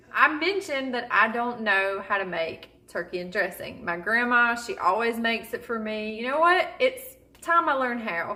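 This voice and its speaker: A woman with an American accent, fairly high in pitch, with very wide pitch swings at a moderate pace over noticeable background noise. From Southern US. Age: 30s. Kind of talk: casual talk to camera.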